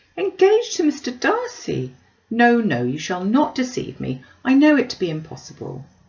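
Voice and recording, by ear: Putting on a character voice, a woman speaks at a fairly high pitch and moderate pace, with vocal fry, a slightly mellow tone and very wide pitch swings.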